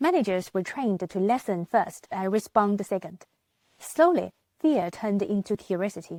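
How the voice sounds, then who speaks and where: The dry, close recording with no echo carries a woman speaking with a non-native accent. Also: very clean recording, silent background. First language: not English. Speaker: business manager and vlogger. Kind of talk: motivational talk.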